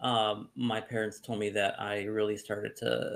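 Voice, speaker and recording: The recording is very clean, with a silent background. A man speaks in a fairly low voice. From Omaha, Nebraska, US Midwest. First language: Spanish. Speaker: podcast guest, community leader. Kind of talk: personal life story in casual chat. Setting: live stream. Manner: halting, many fillers.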